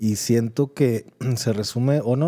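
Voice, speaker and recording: The man's voice has a dark, mellow tone. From Mexico. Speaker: podcast co-host. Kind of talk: casual chat. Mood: relaxed, joking, slangy. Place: studio. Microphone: studio mic.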